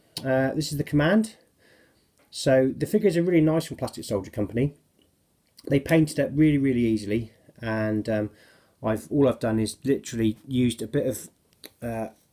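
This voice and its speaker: The tone is dark and mellow, with a Cornish accent and ordinary pitch variation. The pace is moderate, broken by long, frequent pauses. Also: man. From Cornwall, England. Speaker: miniature wargaming hobbyist. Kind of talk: casual hobby showcase video. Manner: hesitant, many fillers.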